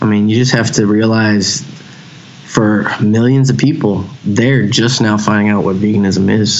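With a Texan accent, a man speaks at a moderate pace. Audible room echo and noticeable background noise fill the recording. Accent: Texan American. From Texas, Houston. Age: 30s. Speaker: hardcore band vocalist and author. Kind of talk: casual chat.

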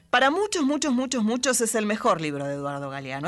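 The voice swings very widely in pitch while music plays in the background. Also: woman. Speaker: radio host. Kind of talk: poetry reading, reading aloud on late-night radio. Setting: studio. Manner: measured, expressive, intimate poetic delivery.

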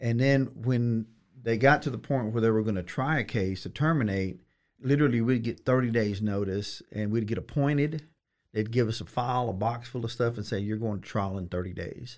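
A man's ordinary speaking voice at medium pitch and a fairly quick pace, with ordinary pitch variation on a very clean recording with a silent background. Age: 50s. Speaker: attorney. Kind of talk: casual interview.

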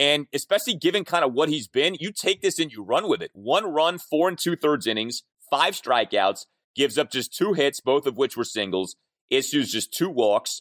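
A man with a fairly high pitch and vocal fry speaks at a moderate pace in an animated tone with very wide pitch swings, on a very clean recording with a silent background and a dry, close sound with no echo. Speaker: podcast host. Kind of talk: sports talk show. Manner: animated, opinionated.

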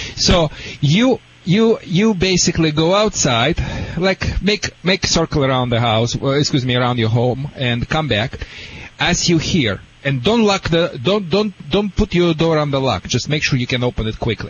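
A fairly high-pitched man with a Russian accent, very wide pitch swings and very even loudness, amid noticeable background noise. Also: moderate pace. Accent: foreign accent, Russian. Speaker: dog trainer. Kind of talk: advice answers to callers. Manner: animated.

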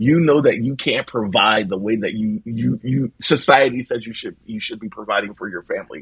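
A man with an American accent talks at medium pitch and a moderate pace, with ordinary pitch variation and hardly any pauses. His is a plain, everyday voice, with big swings in loudness. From South Philadelphia, US. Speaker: theatre director and archivist. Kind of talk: casual chat.

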